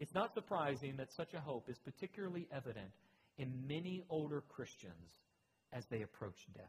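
A man's fairly high voice at a moderate pace, with very wide pitch swings and vocal fry. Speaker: pastor. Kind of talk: sermon.

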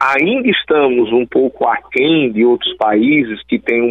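A man talks very slowly while noticeable background noise runs underneath. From Brazil, Alagoas (Northeast). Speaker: electoral law attorney and professor. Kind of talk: radio interview. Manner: halting, with frequent fillers.

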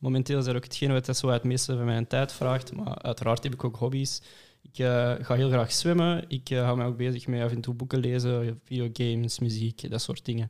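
This man has a plain, everyday voice at a medium pitch. His pace is moderate and his intonation fairly even. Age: 20s. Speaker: engineering student. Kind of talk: casual chat.

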